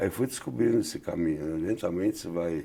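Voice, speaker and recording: This man speaks with a São Paulo accent. His tone is dark and mellow. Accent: Paulistano Brazilian Portuguese. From Brazil, São Paulo. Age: 70s. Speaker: photographer. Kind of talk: interview.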